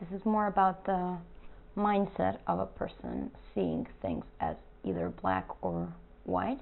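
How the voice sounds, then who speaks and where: The woman talks at a very slow pace. She has a non-native accent. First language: not English. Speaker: artist. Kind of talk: casual talk to camera.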